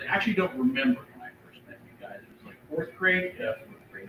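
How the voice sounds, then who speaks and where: A man speaks over noticeable background noise. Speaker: family friend at memorial. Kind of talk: eulogy. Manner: loud.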